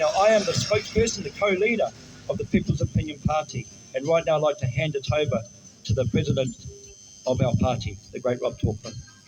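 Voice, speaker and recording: Speaking very fast with a New Zealand accent, a man uses a fairly high pitch and very wide pitch swings while noticeable background noise carries through. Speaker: political party spokesperson. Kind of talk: public speech at a protest. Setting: outdoors outside a government office.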